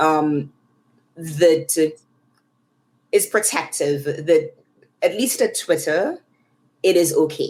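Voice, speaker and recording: A woman with a Trinidadian accent speaks at a very slow pace, with long, frequent pauses. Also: very even loudness. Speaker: tech research leader. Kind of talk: podcast interview. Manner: hesitant, many fillers.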